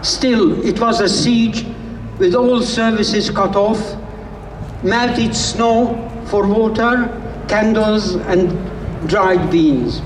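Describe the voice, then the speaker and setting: A man speaks at a very slow pace and a high pitch, with ordinary pitch variation, very even loudness, and long, frequent pauses. Noticeable background noise and audible room echo fill the recording. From Hungary. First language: Hungarian. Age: 80s+. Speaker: Holocaust survivor, activist. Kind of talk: protest speech.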